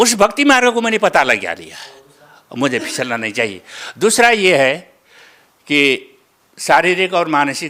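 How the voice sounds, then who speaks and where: With long, frequent pauses, a man speaks in a high pitch with a bright, sharp tone and very wide pitch swings. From Nepal. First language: Nepali (speaking Hindi). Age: 70s. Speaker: devotee, retired school inspector. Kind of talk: interview testimony. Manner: halting, with fillers and repetitions.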